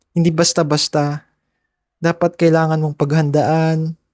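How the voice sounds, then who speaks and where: A man with a high pitch and a dark, mellow tone talks at a fairly slow pace. The recording is very clean and dry, close with no echo, over a silent background. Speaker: podcaster. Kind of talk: personal storytelling podcast. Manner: casual, conversational.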